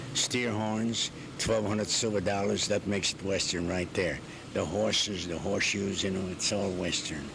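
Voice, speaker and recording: Over noticeable background noise and audible room echo, a man speaks at a moderate pace in a fairly low pitch with ordinary pitch variation. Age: 70s. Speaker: Western wear tailor and shop owner. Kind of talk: interview.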